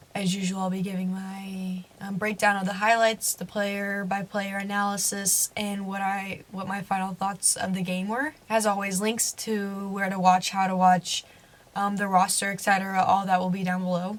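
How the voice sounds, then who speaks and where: A woman at medium pitch talks at a moderate pace with hardly any pauses. Her intonation is monotone and flat, and noticeable background noise is present. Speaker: soccer commentary YouTuber. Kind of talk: sports analysis vlog. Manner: casual with filler words.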